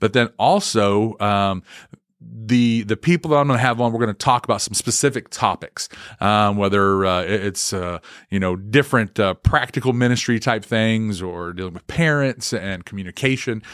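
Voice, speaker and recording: A man with an Oklahoma accent at a moderate pace and ordinary pitch variation, on a very clean recording with a silent background. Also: fairly low pitch for a man. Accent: Oklahoma Southern US. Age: 40s. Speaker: student pastor. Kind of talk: casual monologue. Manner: halting, many fillers.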